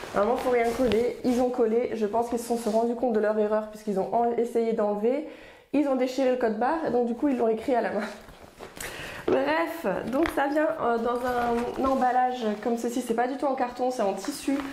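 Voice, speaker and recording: Over noticeable background noise and audible room echo, a woman with a high pitch speaks at a moderate pace, her intonation fairly even and her loudness very even. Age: 30s. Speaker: lifestyle vlogger. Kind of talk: product unboxing review. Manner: casual, hesitant with fillers.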